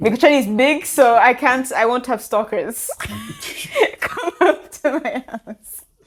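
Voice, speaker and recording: Speaking fairly slowly, a woman uses a high pitch with an American accent. Her pitch varies in an ordinary way. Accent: sounds American. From Tanzania. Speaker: podcast co-host, social media manager. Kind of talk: casual chat.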